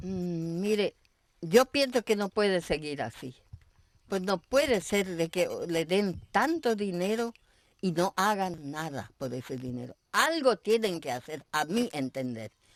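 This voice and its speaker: In a very clean recording with a silent background and a dry, close sound with no echo, a woman at medium pitch speaks at a very slow pace with very wide pitch swings. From Argentina, Misiones (German immigrant family). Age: 80s+. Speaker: elderly interviewee, pioneer settler. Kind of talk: TV interview. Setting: at her home.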